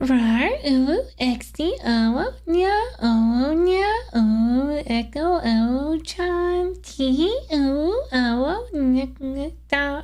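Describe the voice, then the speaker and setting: In a put-on character voice, the speaker talks at a high pitch and a very slow pace over light background noise. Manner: cutesy, strained.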